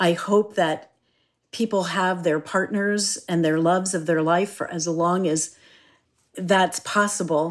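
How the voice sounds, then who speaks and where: The speaker has an American accent and an ordinary speaking voice. The pace is fairly slow and the intonation fairly even. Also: woman, medium pitch for a woman. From Philadelphia, US. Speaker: executive coach and author. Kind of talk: interview.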